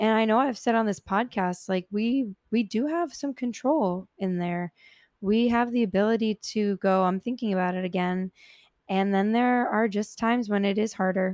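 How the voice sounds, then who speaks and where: A woman speaks in a plain, everyday voice at a moderate pace, her fairly high pitch moving with ordinary variation, recorded dry and close with no echo against a silent background on a very clean recording. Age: 20s. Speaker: solo podcast host. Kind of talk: casual personal monologue. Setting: home room with a fan running. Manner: casual with frequent fillers.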